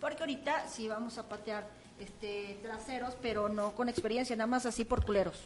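Over noticeable background noise, a woman speaks at a fairly quick pace with a fairly high pitch. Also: ordinary pitch variation. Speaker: comedian. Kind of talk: casual chat; event promotion.

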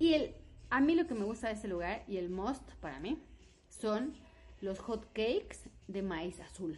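Speaking at a fairly slow pace with long, frequent pauses, a woman uses a fairly high pitch and very wide pitch swings. Vocal fry comes through in her voice. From Mexico, Puebla. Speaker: podcast co-host. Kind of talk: casual chat.

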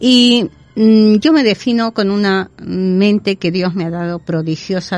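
Very slowly, a woman speaks at a medium pitch with ordinary pitch variation. There is music in the background. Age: 70s. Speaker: psychic medium and healer. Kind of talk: interview. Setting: studio.

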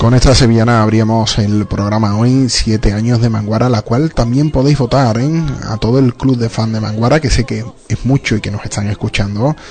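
Against noticeable background noise, a man with a medium-pitched voice talks at a moderate pace with fairly even intonation. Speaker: radio host. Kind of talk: radio show with interviews.

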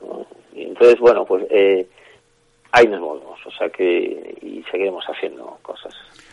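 At a fairly slow pace, a man talks. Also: big swings in loudness. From Basque Country, Bilbao. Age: 50s. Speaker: filmmaker. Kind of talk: interview. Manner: halting.

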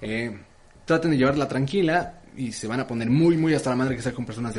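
A man speaks very fast with a Mexican accent. His voice sits at a medium pitch with ordinary variation. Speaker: podcast co-host. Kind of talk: casual chat.

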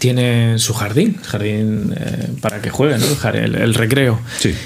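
Noticeable background noise fills the recording as a man talks at a fairly slow pace. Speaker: podcast co-host, bartender. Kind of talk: casual chat.

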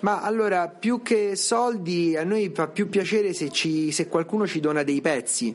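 Noticeable background noise sits behind a man with a high pitch and ordinary pitch variation. He talks at a fairly slow pace with hardly any pauses. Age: 40s. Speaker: museum director. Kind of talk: interview.

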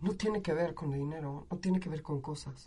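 A woman with a Mexican accent and ordinary pitch variation. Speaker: university lecturer. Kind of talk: interview. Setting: studio. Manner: animated.

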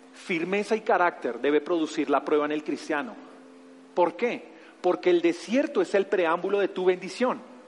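A man talks fairly slowly, his intonation lively. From Bogotá, Colombia. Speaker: pastor. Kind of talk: sermon. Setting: church. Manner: animated.

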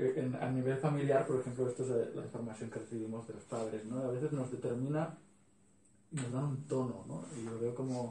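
A man at a moderate pace with fairly even intonation, plus audible room echo and noticeable background noise. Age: 40s. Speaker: workshop participant. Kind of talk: group discussion.

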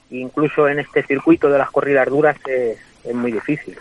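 A man speaks at a moderate pace with fairly even intonation. The sound is dry and close with no echo, though noticeable background noise comes through. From Spain, Guadalajara. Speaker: bullfighter. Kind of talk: interview. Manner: halting.

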